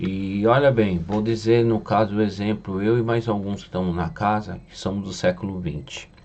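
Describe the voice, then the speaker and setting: This man talks at a moderate pace in a fairly low pitch, with ordinary pitch variation and hardly any pauses. His loudness swings widely, and there is noticeable background noise. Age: 60s. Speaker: spiritual medium. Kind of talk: casual monologue teaching.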